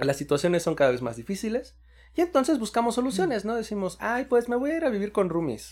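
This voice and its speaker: A man talks at a very fast pace with a high pitch and very wide pitch swings. The recording is very clean, with a silent background. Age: 30s. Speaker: podcast co-host. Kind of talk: casual chat.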